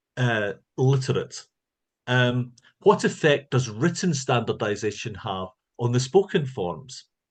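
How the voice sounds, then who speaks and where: With a Scottish accent, a man talks at a fairly slow pace in a medium pitch, his voice somewhat breathy and swinging very widely in pitch against a quiet background. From Scotland. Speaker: linguistics professor. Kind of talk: lecture.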